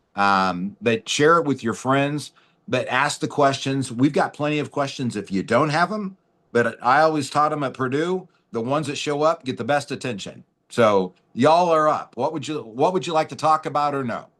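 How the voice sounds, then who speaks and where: The speaker has a normal speaking voice with lively intonation at a moderate pace. The background is quiet. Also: man, fairly high pitch for a man. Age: 50s. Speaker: webinar host. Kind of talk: casual chat.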